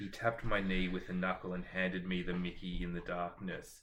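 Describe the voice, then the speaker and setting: A man with an Australian accent speaks at a very deep, low pitch. His intonation is a flat monotone. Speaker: book vlogger. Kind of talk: casual chat.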